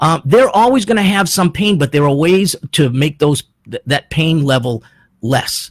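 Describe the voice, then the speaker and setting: With an ordinary speaking voice, a man talks at a moderate pace in a fairly high pitch with lively intonation, the sound dry and close with no echo. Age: 60s. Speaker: personal trainer and radio host. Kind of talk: radio show monologue. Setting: radio studio.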